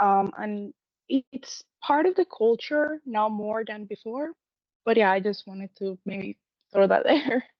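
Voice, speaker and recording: With a Spanish accent, a woman speaks at a fairly high pitch and a fairly slow pace, her intonation lively and her loudness swinging widely. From Puerto Rico. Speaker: college student. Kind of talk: class discussion.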